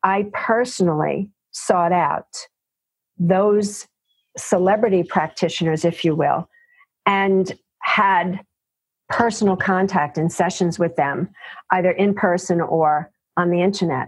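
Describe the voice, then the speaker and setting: A New York accent marks this woman's fairly slow, medium-pitched speech, which has fairly even intonation, very even loudness, and long, frequent pauses. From New York City (Bronx, Queens). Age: 60s. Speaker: physician. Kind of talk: interview.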